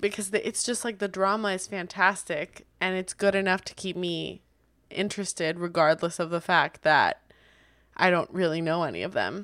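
On a very clean recording with a silent background, a woman speaks in a plain, everyday voice at a medium pitch and moderate pace, with fairly even intonation. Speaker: podcast host. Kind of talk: casual chat.

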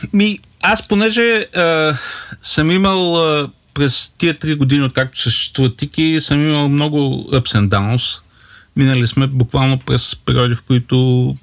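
A man's fairly slow, lively-intoned speech. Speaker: startup co-founder. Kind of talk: casual chat.

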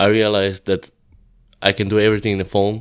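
Fairly quick speech with a Croatian accent on a very clean recording with a silent background. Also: man. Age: 20s. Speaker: pro BMX rider. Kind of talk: casual interview chat. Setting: outdoors at a contest.

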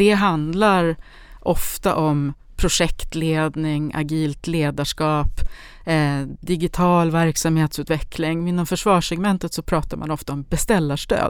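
A woman with a fairly low pitch and a normal speaking voice speaks at a fairly slow pace on a very clean recording with a silent background. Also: fairly even intonation. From Sundsvall, northern Sweden. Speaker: company CEO. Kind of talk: podcast interview.

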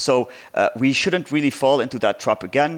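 Fairly quick speech with an Arabic accent and ordinary pitch variation, in a very clean recording with a silent background. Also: man. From southern Lebanon. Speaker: lawyer and political party leader. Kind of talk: interview discussion.

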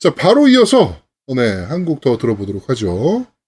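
A man's somewhat breathy, fairly high voice at a fairly slow pace, with very wide pitch swings. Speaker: gaming podcast co-host. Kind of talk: casual chat.

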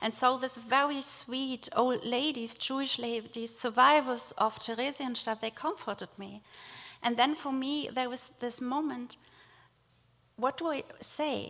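With a German accent, a woman speaks fairly slowly in a high-pitched, bright, sharp tone, her intonation fairly even on a very clean recording with a silent background. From Germany, rural village. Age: 40s. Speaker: theologian and nonprofit director. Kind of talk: speech. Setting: synagogue with audience.

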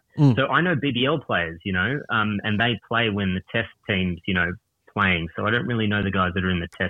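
With an Australian accent, a man talks at a moderate pace in a fairly low pitch, his pitch varying in an ordinary way. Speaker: caller. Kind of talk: casual chat. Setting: phone call.

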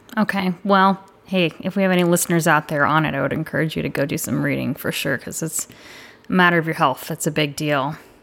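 A woman's very deep, low voice with vocal fry, ordinary pitch variation, and a very fast pace. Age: 30s. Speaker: podcast host, military service member. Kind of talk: casual interview.

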